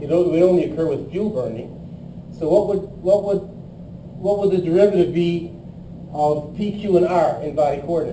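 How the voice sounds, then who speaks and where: Fairly quick speech with fairly even intonation and long, frequent pauses, plus noticeable background noise and audible room echo. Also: man, high pitch for a man. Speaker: engineering lecturer. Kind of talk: lecture.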